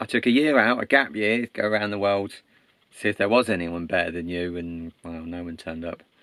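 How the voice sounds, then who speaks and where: With an English accent, a man talks at a moderate pace with ordinary pitch variation on a very clean recording with a silent background. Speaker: storyteller. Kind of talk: casual oral storytelling. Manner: animated; conversational.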